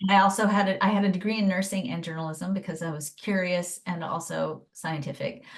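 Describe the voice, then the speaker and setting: A woman speaks at a fairly quick pace with hardly any pauses, her medium pitch kept in fairly even intonation. Her voice is somewhat breathy. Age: 50s. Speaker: human design teacher and former nurse. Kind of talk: interview.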